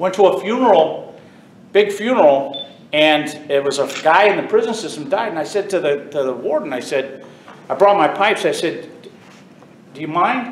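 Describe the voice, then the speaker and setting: The speaker talks at a moderate pace with lively intonation and long, frequent pauses. Room echo is audible, and background noise is noticeable. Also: man, high pitch for a man. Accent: American. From US South (Texas and Florida). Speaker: bagpiper and retired prison officer. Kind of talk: informal talk to a club audience. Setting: stage with audience.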